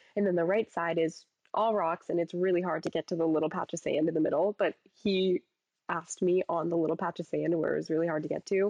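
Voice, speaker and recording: This woman talks at a fairly low pitch with a monotone, flat intonation. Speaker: podcast co-host. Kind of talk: casual chat.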